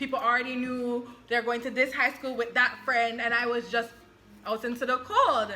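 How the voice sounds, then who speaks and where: A woman speaks at a moderate pace in a high, animated voice, with noticeable background noise. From Jamaica. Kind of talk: casual chat.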